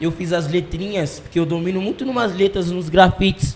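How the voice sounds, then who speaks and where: Using ordinary pitch variation, a man with a high voice talks at a moderate pace. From Brazil, Londrina (Paraná), arrived from Jamaica at six. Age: 20s. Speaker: dancer and dance teacher. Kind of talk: casual interview.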